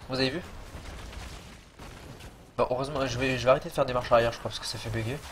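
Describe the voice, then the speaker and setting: Amid noticeable background noise, a man of medium pitch speaks at a very fast pace with fairly even intonation and long, frequent pauses. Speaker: gaming youtuber. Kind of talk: gameplay tutorial commentary. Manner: casual, hesitant with fillers.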